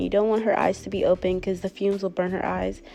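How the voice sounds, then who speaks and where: A woman talks at a medium pitch, her intonation fairly even, while music plays in the background. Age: 20s. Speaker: lash technician. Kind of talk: tutorial voice-over. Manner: casual, conversational.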